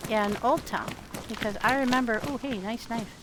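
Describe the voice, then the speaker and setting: Noticeable background noise accompanies a woman's voice. She has a fairly high pitch and fairly even intonation. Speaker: gaming streamer. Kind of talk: live gameplay commentary. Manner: quieter when sneaking in game.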